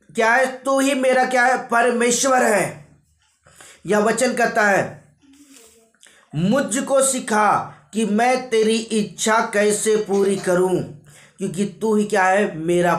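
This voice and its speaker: The speaker is a man. Ordinary pitch variation shapes his speech. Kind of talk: sermon preaching to a congregation.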